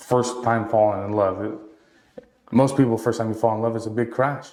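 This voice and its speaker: Audible room echo surrounds a man speaking at a moderate pace with medium pitch. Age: 20s. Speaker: entrepreneur. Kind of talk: casual chat. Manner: animated.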